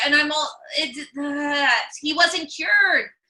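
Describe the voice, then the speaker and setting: A woman speaks very slowly in a raised, projected voice. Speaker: comedian. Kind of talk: interview host on video call. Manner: stutters.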